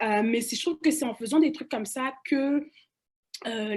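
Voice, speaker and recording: The woman's pace is fairly quick, and her pitch moves up and down in an ordinary way. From Cameroon, Douala. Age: young. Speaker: panelist. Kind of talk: panel discussion. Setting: webinar. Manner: halting, many repetitions and fillers.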